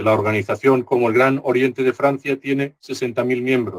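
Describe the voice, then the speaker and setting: A man's medium-pitched voice at a fairly slow pace, with a dry, close sound and no echo. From Spain. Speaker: Masonic grand master giving a lecture. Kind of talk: lecture. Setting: conference talk. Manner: slow, deliberate; hesitant with filler sounds.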